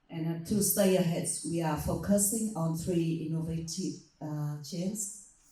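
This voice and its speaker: Over audible room echo, a woman with a fairly low pitch speaks in a dark, mellow, somewhat breathy tone with ordinary pitch variation. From Vietnam. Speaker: panelist, disaster management official. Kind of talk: panel presentation. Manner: halting, some fillers.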